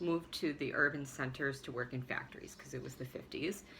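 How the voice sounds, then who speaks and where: Fairly quick speech with ordinary pitch variation amid noticeable background noise. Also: woman. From US Midwest, Chicago suburb. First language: Swabian German dialect. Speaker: vlogger. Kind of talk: personal storytelling monologue. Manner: halting, many fillers.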